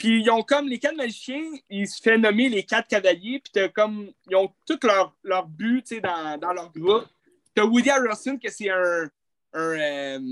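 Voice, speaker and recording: This man talks very slowly in a Quebec accent, his pitch high for a man and his intonation lively. His loudness swings widely, and the sound is dry and close with no echo. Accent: Québécois French. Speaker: film podcast co-host. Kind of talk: casual chat.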